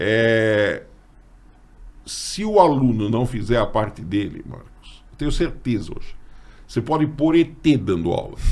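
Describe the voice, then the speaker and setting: A man at medium pitch talks at a fairly slow pace, leaving long, frequent pauses. His intonation is lively, his loudness swings widely, and room echo is audible. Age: 60s. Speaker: teacher and podcast host. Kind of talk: casual chat.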